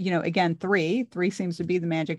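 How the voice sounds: A woman with a fairly low pitch talks at a fairly quick pace.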